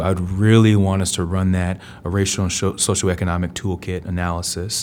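A man with a very deep, low voice speaks at a moderate pace. His intonation is monotone and flat. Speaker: city council member. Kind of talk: formal public meeting.

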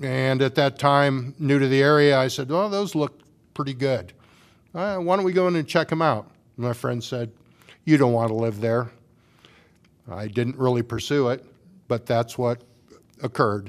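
This speaker has a Midwestern US accent and ordinary pitch variation. The pace is moderate, broken by long, frequent pauses. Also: man, medium pitch for a man. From Washington, Iowa. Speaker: city council candidate. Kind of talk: candidate forum. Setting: public forum with audience.

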